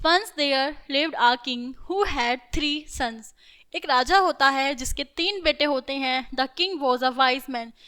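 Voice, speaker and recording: A woman speaks in a raised, projected voice with a bright, sharp tone. Her pitch is high, with ordinary pitch variation. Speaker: school teacher. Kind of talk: lecture. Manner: animated.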